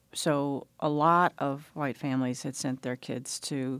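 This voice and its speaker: A woman's very deep, low voice with a Southern US accent, flat and monotone, at a fairly slow pace on a very clean recording with a silent background. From US South, Mississippi Delta (Leland). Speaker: interviewee recalling school desegregation. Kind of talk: radio interview.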